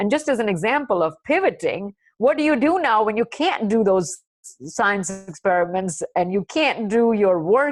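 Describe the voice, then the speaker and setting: Over a quiet background, a woman with an ordinary speaking voice talks at a fairly high pitch with lively intonation. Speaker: corporate scientist. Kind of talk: webinar talk.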